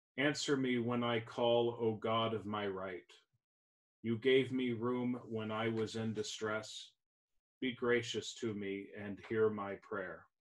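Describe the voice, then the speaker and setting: Against a quiet background, a man talks at a very slow pace. His intonation is monotone and flat. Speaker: pastor leading service. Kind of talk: liturgical reading and prayer.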